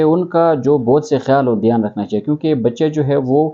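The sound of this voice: Dark, mellow tone from a man at a fairly quick pace, with ordinary pitch variation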